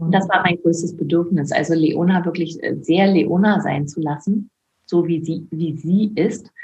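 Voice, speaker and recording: A woman talks at a fairly slow pace in a fairly low, somewhat breathy voice. Her intonation stays fairly even. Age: 50s. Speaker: author and former midwife. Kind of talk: interview.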